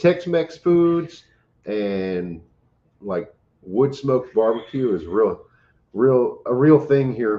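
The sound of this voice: Lively intonation colors a man's dark, mellow tone as he talks at a slow pace. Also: medium pitch for a man.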